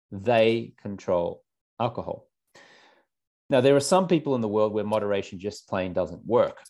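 Speaking with an Australian accent at a medium pitch and moderate pace, a man uses lively intonation and long, frequent pauses over a quiet background. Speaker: alcohol-free lifestyle coach. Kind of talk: interview.

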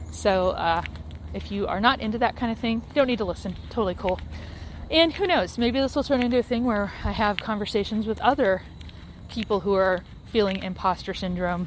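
A woman's medium-pitched voice with vocal fry, ordinary pitch variation and a fairly quick pace. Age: 40s. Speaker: podcaster. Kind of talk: casual monologue. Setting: outdoors. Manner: walking while talking.

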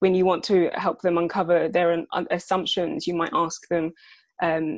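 A woman with a British accent speaks at a moderate pace in a fairly low voice, with ordinary pitch variation against a quiet background. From UK, adopted from Sierra Leone at three. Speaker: head of people at a tech startup. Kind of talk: podcast interview.

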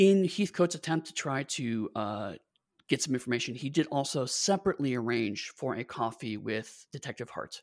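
On a very clean recording with a silent background, a man talks at a moderate pace in a normal speaking voice at medium pitch. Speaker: game master and podcast host. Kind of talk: casual chat.

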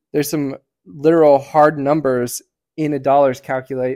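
Over a very clean recording with a silent background, a man speaks at a moderate pace. His pitch is fairly high and his tone dark and mellow. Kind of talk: casual chat. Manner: projects loudly.

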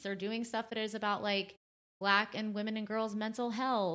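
A normal speaking voice moves at a moderate pace over a quiet background. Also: woman. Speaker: journalist. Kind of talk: casual chat.

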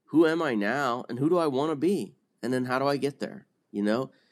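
Against a quiet background, a man uses an ordinary speaking voice at a medium pitch, with lively intonation and a moderate pace. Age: 40s. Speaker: newsletter writer in addiction recovery.

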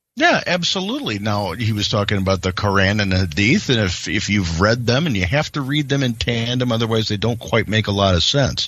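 Speaking at a fairly quick pace with hardly any pauses, a man has an unremarkable speaking voice, fairly low in pitch with ordinary pitch variation. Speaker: podcast host. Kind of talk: podcast commentary with ad reads.

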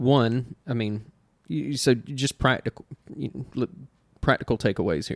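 In a dry, close sound with no echo, a man with a Southern US accent speaks at a medium pitch, leaving long, frequent pauses. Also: lively intonation. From US South.

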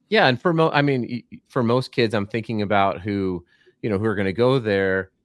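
In a plain, everyday voice, a man delivers his words fairly quickly. He sits at a medium pitch that shifts in a normal way. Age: 40s. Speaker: basketball podcast host. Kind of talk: casual interview.

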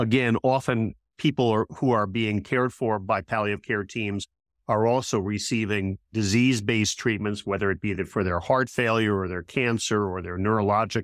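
A man with an unremarkable speaking voice talks at fairly low pitch with fairly even intonation, in a dry, close sound with no echo on a very clean recording with a silent background. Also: moderate pace. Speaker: palliative care physician. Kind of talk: interview conversation.

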